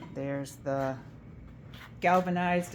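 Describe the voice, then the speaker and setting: Her pitch very deep and low, a woman speaks with ordinary pitch variation in a space with audible room echo. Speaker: estate sale organizer. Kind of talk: video walkthrough of sale items.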